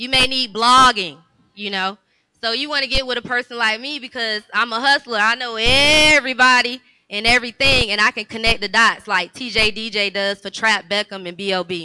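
Using a normal speaking voice, a woman talks at a moderate pace and a fairly high pitch with ordinary pitch variation. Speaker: entrepreneur and magazine owner. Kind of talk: panel discussion. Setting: stage with audience.

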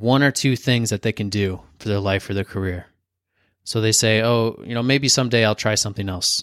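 A normal speaking voice from a man at a medium pitch, with ordinary pitch variation and a moderate pace, in a dry, close sound with no echo on a very clean recording with a silent background. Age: 20s. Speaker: podcast host. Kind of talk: solo motivational talk. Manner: casual, conversational.

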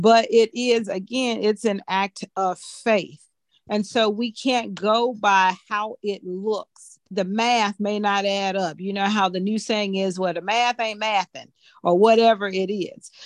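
A woman's unremarkable speaking voice, medium-pitched, at a fairly slow pace with fairly even intonation, dry and close with no echo, over a quiet background. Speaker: ministry member leading prayer. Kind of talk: prayer and testimony.

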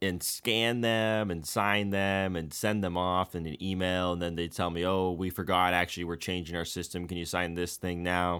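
A man with an American accent speaks at a fairly quick pace in a very deep, low pitch. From US West Coast, San Francisco Bay Area. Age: 20s. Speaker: satire site editor. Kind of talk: casual chat. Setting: remote call.

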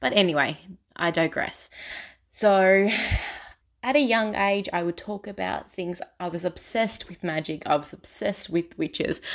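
A woman with a plain, everyday voice, medium pitch and moderate pace, on a very clean recording with a silent background. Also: ordinary pitch variation. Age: 20s. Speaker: spiritual podcaster. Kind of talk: personal storytelling monologue.

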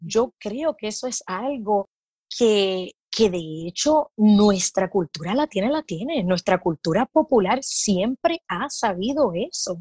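Very slowly and somewhat breathily, a woman speaks at a fairly high pitch with a dark, mellow tone and very wide pitch swings, in a dry, close sound with no echo. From Puerto Rico. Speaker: midwife. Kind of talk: casual interview.

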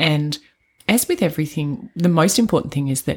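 A somewhat breathy woman's voice, very deep and low, with very wide pitch swings and a fairly quick pace. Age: 40s. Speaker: podcast co-host, trainee doula. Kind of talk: casual chat.

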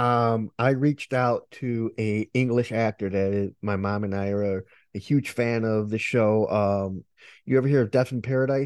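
At a moderate pace and medium pitch, a man with an unremarkable speaking voice talks with fairly even intonation over a quiet background. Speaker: podcast host. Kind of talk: casual interview chat.

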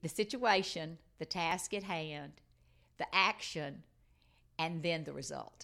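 A woman with a Southern US accent speaks at a very slow pace, her fairly low voice carrying vocal fry. Her pitch moves in an ordinary way, broken by long, frequent pauses. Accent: Southern US (Georgia). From US South, Georgia. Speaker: life coach. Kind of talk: interview. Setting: in person at guest's home.

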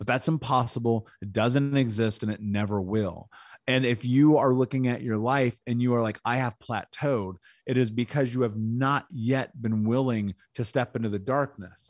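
This is a normal speaking voice, a man with an American accent at medium pitch and a moderate pace. His intonation is fairly even, and the very clean recording has a silent background and a dry, close sound with no echo. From Indianapolis, US Midwest. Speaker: podcast host and speaker on trauma recovery. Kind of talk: angry rant, confrontational tough-love lecture. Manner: intense, blunt, forceful, cursing.

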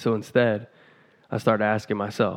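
An unremarkable speaking voice from a man with a General American accent at a fairly quick pace. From Pacific Northwest US (Vancouver, Washington). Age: 20s. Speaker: podcast host, stunt rider and motivational speaker. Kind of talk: motivational monologue.

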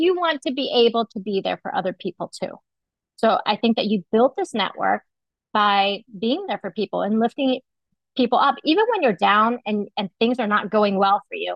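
Her voice is an unremarkable speaking voice, fairly high for a woman, with lively intonation. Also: moderate pace. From United States, Vietnamese immigrant family. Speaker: marketing professor. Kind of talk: interview.

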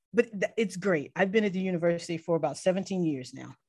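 With an American accent and a normal speaking voice, a woman talks at a fairly quick pace in a medium pitch. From US South, Mobile, Alabama. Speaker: chemistry professor. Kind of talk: interview.

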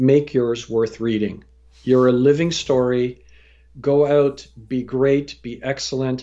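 With a Canadian accent, a man uses an unremarkable speaking voice at medium pitch and a moderate pace. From Canada. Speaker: storyteller and career coach. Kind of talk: interview.

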